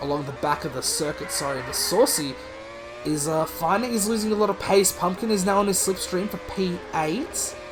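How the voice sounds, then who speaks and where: His speech comes at a moderate pace. Behind it, there is noticeable background noise. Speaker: sim racing commentator. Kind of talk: live commentary. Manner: hesitant, self-correcting.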